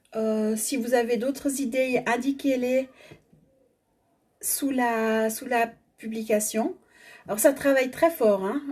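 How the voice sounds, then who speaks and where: Long, frequent pauses break up a woman's very slow speech. Her pitch is high and her intonation fairly even. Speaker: energy healing facilitator. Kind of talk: guided energy exercise. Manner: stammering at times.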